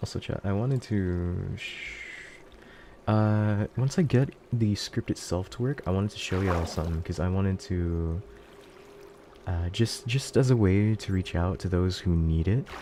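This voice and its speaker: A man mumbling at a moderate pace, fairly low in pitch with ordinary pitch variation, dark, mellow tone and long, frequent pauses. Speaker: VTuber streamer. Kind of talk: live gaming stream.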